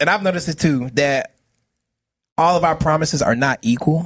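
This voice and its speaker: A man talks at a fairly quick pace with an animated tone. The sound is dry and close, with no echo. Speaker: podcast co-host, musician. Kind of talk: casual chat.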